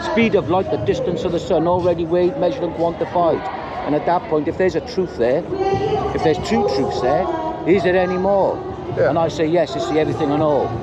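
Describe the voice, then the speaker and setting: Amid loud background noise, a man speaks at a very fast pace in a dry sound with no echo. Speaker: bystander at protest. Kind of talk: street argument. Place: street. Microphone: phone near.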